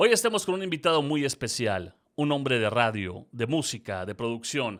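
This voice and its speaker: A man speaks at a medium pitch. His pitch swings very widely. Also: moderate pace. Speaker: radio announcer. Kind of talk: podcast interview host.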